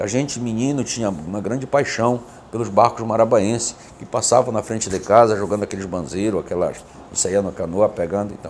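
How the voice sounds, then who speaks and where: Fairly quick speech from a man with a fairly low voice and ordinary pitch variation, noticeable background noise behind him. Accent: Pará. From Pará riverside, Igarapé-Miri, Brazil. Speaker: businessman. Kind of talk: interview conversation.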